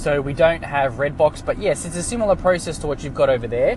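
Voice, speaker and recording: Over noticeable background noise, a man talks with an Australian accent. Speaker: podcaster. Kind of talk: casual monologue. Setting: in a car.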